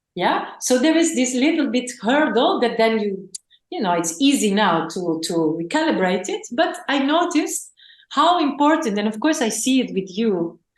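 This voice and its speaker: The speaker keeps a moderate pace while the pitch swings very widely. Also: woman, high pitch for a woman. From Greece and the Netherlands. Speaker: spiritual teacher and channeler. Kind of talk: podcast interview.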